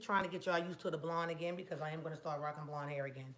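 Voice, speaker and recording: A woman at a very fast pace with fairly low pitch and audible room echo. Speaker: hair product maker and beauty vlogger. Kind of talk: casual product vlog. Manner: casual, chatty.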